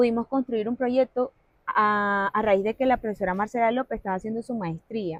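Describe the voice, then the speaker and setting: With a La Guajira accent, the speaker talks at a moderate pace and fairly even intonation in a dry, close sound with no echo. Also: woman. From La Guajira, Colombia (Wayuu territory). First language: Wayuunaiki (speaking Spanish). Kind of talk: interview conversation.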